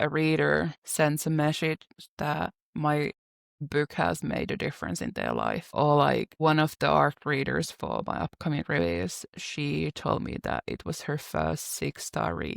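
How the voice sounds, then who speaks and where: Recorded very cleanly against a silent background, a woman with a non-native accent speaks at a fairly slow pace, the sound dry and close with no echo. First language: not English. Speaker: romance author. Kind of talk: casual interview chat.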